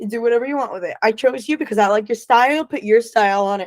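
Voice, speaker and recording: Speaking in an ordinary speaking voice with an American accent, a woman talks fairly quickly at a fairly high pitch with lively intonation, the sound dry and close with no echo. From Florida. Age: young. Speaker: filmmaker. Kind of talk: interview.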